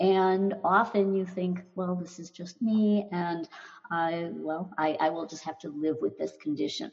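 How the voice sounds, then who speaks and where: A woman with a fairly low pitch speaks at a fairly slow pace, somewhat breathy, with ordinary pitch variation and big swings in loudness. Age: 70s. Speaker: anxiety doctor, former teacher. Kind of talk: interview.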